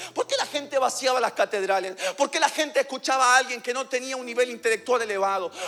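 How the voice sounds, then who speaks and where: A man with an extremely high pitch for a man talks at a very fast pace in a raised, projected voice, animated in tone, with ordinary pitch variation, hardly any pauses and noticeable background noise. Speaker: pastor. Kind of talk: sermon.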